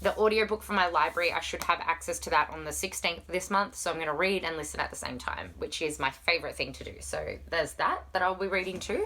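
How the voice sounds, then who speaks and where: Speaking very fast with hardly any pauses, a woman with an Australian accent comes through over noticeable background noise. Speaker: book vlogger. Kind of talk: casual chat. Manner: animated.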